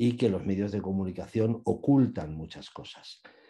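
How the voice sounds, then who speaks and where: A man talks at a moderate pace with a very deep, low pitch. His tone is dark and mellow, with ordinary pitch variation. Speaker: journalist and radio film commentator. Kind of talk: interview.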